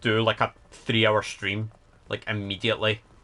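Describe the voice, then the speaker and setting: A man speaks at a moderate pace with a Scottish accent. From Scotland. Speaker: streamer. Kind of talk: casual livestream chat.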